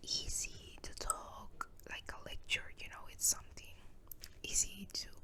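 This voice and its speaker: Someone whispers in a Spanish accent at a very slow pace. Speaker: ASMR creator. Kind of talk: casual chat. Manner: soft-spoken; halting.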